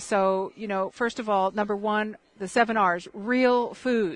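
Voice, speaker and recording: A woman with an ordinary speaking voice, medium pitch, fairly even intonation and a moderate pace. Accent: American. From Michigan. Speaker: health educator. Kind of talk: interview.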